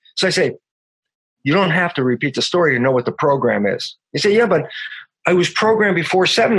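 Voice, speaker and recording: A man's high-pitched voice at a very fast pace with lively intonation. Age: 70s. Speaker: stem cell biologist and author. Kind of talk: casual interview conversation. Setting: remote interview call. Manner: upbeat, happy, energetic.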